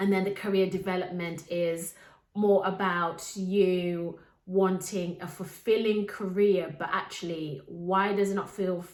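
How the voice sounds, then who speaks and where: A woman speaks at a medium pitch with monotone, flat intonation. Room echo is audible. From Zimbabwe. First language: Shona. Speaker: life coach and podcast host. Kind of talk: podcast monologue.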